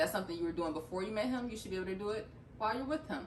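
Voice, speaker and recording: Over noticeable background noise, a woman of medium pitch speaks with very wide pitch swings. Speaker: vlogger. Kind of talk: casual chat. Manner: fast.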